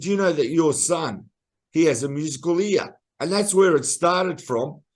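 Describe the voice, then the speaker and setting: In an Australian accent, a man with a high pitch speaks at a moderate pace using lively intonation. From Australia, Melbourne. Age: 60s. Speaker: singer-songwriter. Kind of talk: interview.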